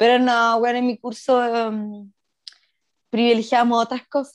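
Speech comes at a very slow pace against a quiet background. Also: woman. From Chile, Puerto Montt. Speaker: podcast co-host. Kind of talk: casual chat.

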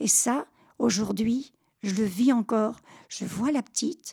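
A woman speaks very slowly in a high voice with a dark, mellow tone and ordinary pitch variation. The recording is very clean, with a silent background. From Normandy, Caen. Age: 80s+. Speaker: WWII childhood survivor. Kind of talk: testimony. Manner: halting.

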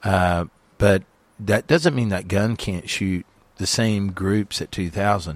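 On a very clean recording with a silent background, a man with an American accent speaks at a very slow pace in a fairly low voice with ordinary pitch variation. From US. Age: 50s. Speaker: long-range shooting instructor. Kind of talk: interview. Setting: studio. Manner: halting.

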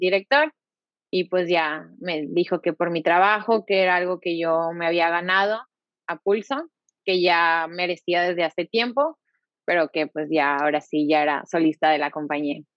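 A normal speaking voice at a fairly slow pace. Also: woman. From Mexico, Monterrey. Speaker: ballet dancer. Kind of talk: casual interview. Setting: video call.

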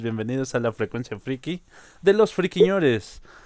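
A man with a Mexican accent speaks at a medium pitch with lively intonation. The sound is dry and close, with no echo. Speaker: podcast host. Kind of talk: casual chat. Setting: live online broadcast.

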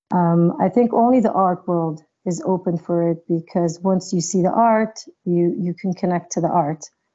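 A normal speaking voice from a woman, fairly low in pitch, with ordinary pitch variation and a moderate pace. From New York (raised), born in Israel. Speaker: dancer and choreographer. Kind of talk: interview.

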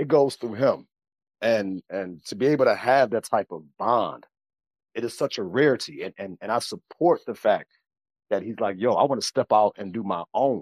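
In an American accent, a man speaks at a moderate pace with a medium pitch, an animated tone and ordinary pitch variation. The recording is very clean with a silent background, its sound dry and close with no echo. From US Midwest, Chicago. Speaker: podcaster. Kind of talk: casual chat. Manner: animated, repeats words.

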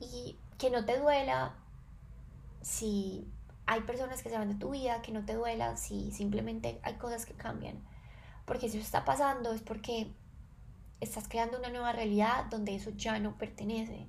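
A woman at a moderate pace, long and frequent pauses, and audible room echo. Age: 20s. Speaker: podcast host, wellness and self-knowledge. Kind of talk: reflective solo monologue.

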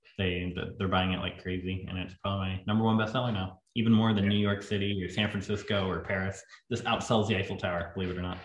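Talking at a very fast pace, a man with a Southern accent has a fairly low, somewhat breathy voice and monotone, flat intonation. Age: 20s. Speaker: landscape photographer. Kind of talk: casual chat.

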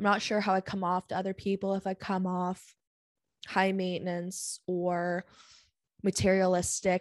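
A woman's medium-pitched, monotone, flat delivery, dry and close with no echo, over a quiet background. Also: moderate pace. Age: 20s. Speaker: podcast host. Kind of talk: casual solo monologue. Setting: studio.

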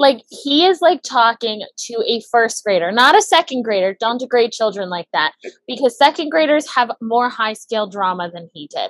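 A woman with a fairly high voice speaks at a moderate pace, her pitch swinging very widely. Her loudness varies greatly, and the sound is dry and close with no echo. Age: 20s. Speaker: podcast guest. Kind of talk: casual chat.

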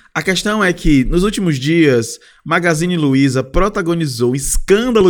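A man speaks at a moderate pace and high pitch. His tone is animated and his intonation lively. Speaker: podcast host. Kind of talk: casual solo monologue.

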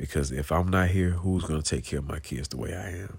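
This is a man talking. His voice has vocal fry. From US South, Georgia (Clayton County, south Atlanta). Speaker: podcast host. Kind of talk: casual monologue. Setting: at home, in bed, late at night.

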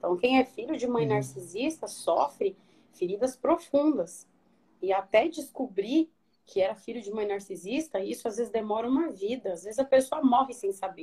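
A woman speaks at a moderate pace in a fairly high pitch with very wide pitch swings. Her tone is dark and mellow. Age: 30s. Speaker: psychologist. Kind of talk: interview on a live stream.

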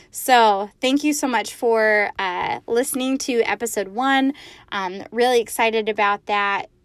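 A woman speaks fairly slowly at a fairly high pitch, with ordinary pitch variation. The recording is very clean, with a silent background. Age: 30s. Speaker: podcast host. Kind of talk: solo monologue.

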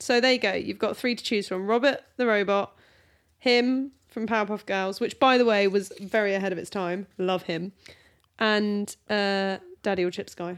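In a British accent, a woman talks at a moderate pace with a medium pitch and ordinary pitch variation. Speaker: podcast host. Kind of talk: casual banter between spouses. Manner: playful, teasing.

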